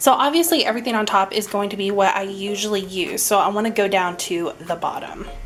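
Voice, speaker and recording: Over noticeable background noise, a woman speaks very fast with hardly any pauses, her medium pitch showing ordinary variation. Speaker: beauty youtuber. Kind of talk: casual makeup tutorial vlog.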